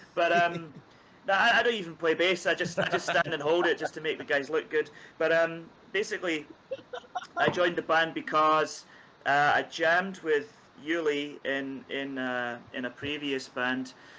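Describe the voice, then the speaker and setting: Speaking in a Scottish accent, a man uses a fairly high pitch, ordinary pitch variation and a moderate pace. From Scotland, east coast. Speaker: bass player in a band. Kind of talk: casual chat.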